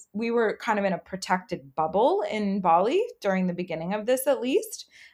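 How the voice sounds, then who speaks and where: A woman's normal speaking voice with a Canadian accent, medium pitch, ordinary pitch variation, and a moderate pace on a very clean recording with a silent background. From Canada, Halifax. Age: 30s. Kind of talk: casual chat.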